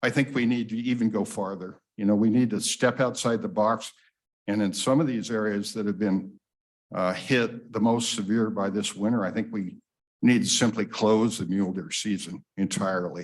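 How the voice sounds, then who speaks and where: A man's fairly low voice with an American accent, fairly even intonation and a moderate pace. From Wyoming, US West. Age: 60s. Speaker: public commenter, hunter. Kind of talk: public comment at meeting. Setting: public meeting room.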